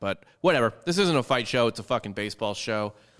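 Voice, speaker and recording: On a very clean recording with a silent background, a man with a plain, everyday voice speaks fairly quickly at a fairly low pitch. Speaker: baseball podcast host. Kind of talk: casual sports talk.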